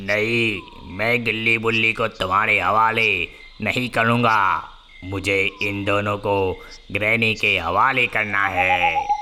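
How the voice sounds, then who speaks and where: A man's cartoonish character voice at a medium pitch, very slow, with clear background noise. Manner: gloating, laughing menace.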